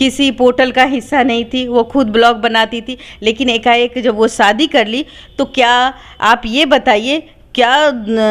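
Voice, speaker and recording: A woman speaks with a high pitch. Her intonation stays flat and monotone. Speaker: journalist. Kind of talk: interview. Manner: halting.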